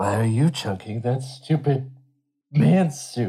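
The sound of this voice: In a put-on character voice, a man speaks at a medium pitch. His pace is fairly slow.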